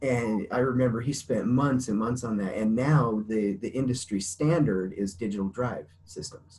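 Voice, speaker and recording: A somewhat breathy man with ordinary pitch variation and hardly any pauses. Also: moderate pace. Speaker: interview guest. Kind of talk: interview answer. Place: home room. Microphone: video call.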